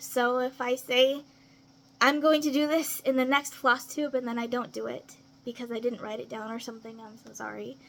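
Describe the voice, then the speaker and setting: At a moderate pace, a woman with an American accent speaks at a high pitch in a monotone, flat intonation. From US South. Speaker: craft vlogger. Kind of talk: casual vlog introduction.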